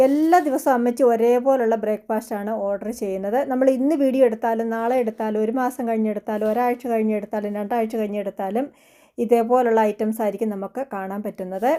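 A woman speaks with a dark, mellow tone at a fairly high pitch and fairly even intonation. The recording is very clean, with a silent background. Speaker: cooking vlogger. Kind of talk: vlog narration. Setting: kitchen.

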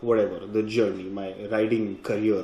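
A man speaks at a fairly quick pace. Audible room echo surrounds his voice. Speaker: motorcycle travel vlogger. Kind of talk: casual vlog chat. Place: home room. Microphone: phone near.

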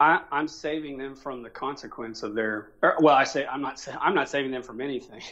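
A man with an American accent speaks at a fairly quick pace in a fairly high voice, with hardly any pauses. His intonation is fairly even, while his loudness swings widely. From Oklahoma, US. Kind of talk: debate interview. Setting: phone call from abroad.

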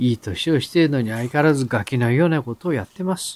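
The pace of this man's speech is moderate. His intonation is lively. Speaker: novelist and writing-course teacher hosting a radio-style show. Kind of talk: solo talk answering listener mail. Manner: hesitant with many fillers.

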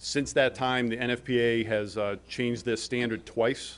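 The man's delivery is fairly slow. Only small rises and falls shape his intonation. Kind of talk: presentation to a board. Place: meeting room. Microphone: podium.

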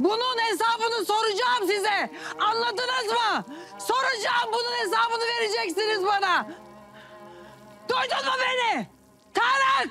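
In a put-on character voice, a woman speaks extremely high with a bright, sharp tone. Her pace is fairly slow and her pitch varies an ordinary amount.

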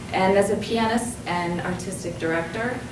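Against clear background noise and audible room echo, a woman speaks at a medium pitch. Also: ordinary pitch variation, moderate pace.

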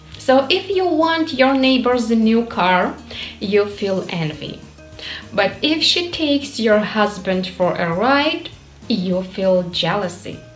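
A woman with a fairly high pitch, very wide pitch swings and a very slow pace, with audible room echo and faint music in the background. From Ukraine. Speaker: English learner. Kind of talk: casual talk to camera. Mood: warm, friendly. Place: home room.

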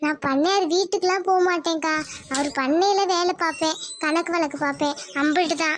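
A woman does a cartoonish character voice at an extremely high pitch, with fairly even intonation and very even loudness. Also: moderate pace. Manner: warm, reassuring.

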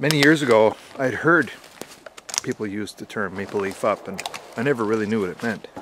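At a fairly quick pace with long, frequent pauses, a man speaks at medium pitch with ordinary pitch variation, the sound dry with no echo but with noticeable background noise. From Canada. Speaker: history and shooting video creator; shooting video creator. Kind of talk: vlog-style history talk. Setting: outdoors at an old wartime rifle range. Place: forest. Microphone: phone near.

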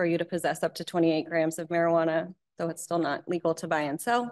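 Against a quiet background, a woman speaks in a fairly low pitch with monotone, flat intonation. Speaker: presenter. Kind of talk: lecture.

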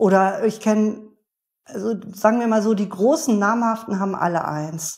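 Her pace is moderate in an unremarkable speaking voice. This woman's pitch is fairly high, with ordinary pitch variation. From northern Germany (Bremen). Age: 50s. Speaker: beer sommelier and author. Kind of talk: interview conversation.

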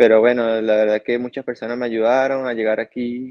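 Against a quiet background, a man is talking. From Venezuela, Yaracuy; Venezuela. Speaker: professional cyclist; guest. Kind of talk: interview. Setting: remote call. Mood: calm, grateful. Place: home room. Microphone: video call.

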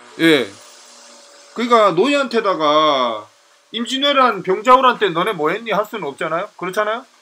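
A raised, projected voice moves at a moderate pace, broken by long, frequent pauses. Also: man, high pitch for a man. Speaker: political commentator. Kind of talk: lecture. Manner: halting.

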